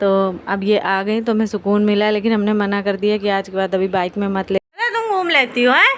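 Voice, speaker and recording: Noticeable background noise runs behind a woman with a Kanpuri accent. She speaks at a moderate pace with fairly even intonation. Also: hardly any pauses. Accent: Kanpuri Hindi. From India, Kanpur (Uttar Pradesh). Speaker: family vlogger. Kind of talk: casual vlog talk. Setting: at home, kitchen. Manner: blunt, outspoken.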